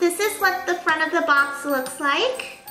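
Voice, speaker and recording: A woman's raised, projected voice at an extremely high pitch, with clear background music and audible room echo. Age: 20s. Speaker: youtuber. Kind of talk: unboxing vlog. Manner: animated. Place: home room.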